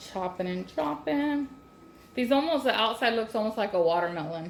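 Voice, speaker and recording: Loud and at a moderate pace, a woman of medium pitch speaks in a Southern US accent with very wide pitch swings over noticeable background noise. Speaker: home cooking channel host. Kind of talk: cooking tutorial. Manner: casual, chatty.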